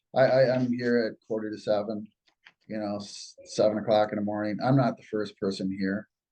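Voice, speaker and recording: A dark, mellow voice with an American accent, monotone, flat intonation and a moderate pace, in a dry, close sound with no echo. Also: man. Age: 60s. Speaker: business owner. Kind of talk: interview. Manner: halting, with many fillers and repetitions.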